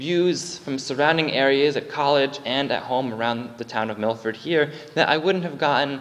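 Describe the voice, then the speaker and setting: Speaking at a moderate pace, the man lets his pitch shift in ordinary ways. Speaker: lay preacher. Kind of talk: sermon. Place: church.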